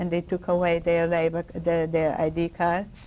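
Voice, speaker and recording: A woman speaks at a fairly slow pace with a Polish accent. Her tone is dark and mellow, and her pitch sits fairly low. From Poland (Lwow). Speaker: Holocaust survivor. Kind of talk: oral history interview answer.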